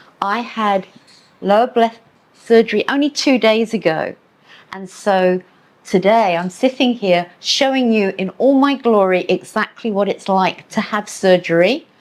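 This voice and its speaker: The speaker goes at a fairly slow pace with an English accent. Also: woman, fairly high pitch for a woman, ordinary pitch variation. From England. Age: 70s. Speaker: medical tourism company owner. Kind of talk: podcast interview.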